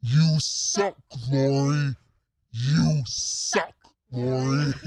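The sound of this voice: This is a put-on character voice at a low-to-middle pitch. The delivery is very slow.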